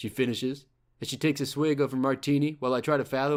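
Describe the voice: Text gets read out plainly. Nothing more is added to the reading.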